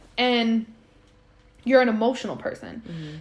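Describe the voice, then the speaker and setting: A woman talks at a fairly quick pace in a normal speaking voice. Her pitch is fairly high. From Puerto Rican heritage, US. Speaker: podcast host. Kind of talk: casual chat.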